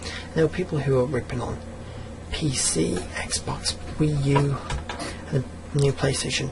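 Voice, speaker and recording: Quietly and at a fairly slow pace, a man speaks at a medium pitch with very wide pitch swings and long, frequent pauses, against noticeable background noise. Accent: English. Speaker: gaming YouTuber. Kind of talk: rant. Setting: at home late at night. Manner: speaking quietly; animated. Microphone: audio too quiet.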